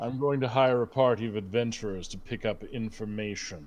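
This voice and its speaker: This man speaks in a put-on character voice at a fairly quick pace, his pitch medium. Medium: actual play. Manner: languid, refined, condescending.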